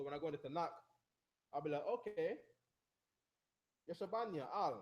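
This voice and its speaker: Animated and very fast, a man talks at a high pitch with ordinary pitch variation. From Jamaica. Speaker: religious teacher. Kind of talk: lecture.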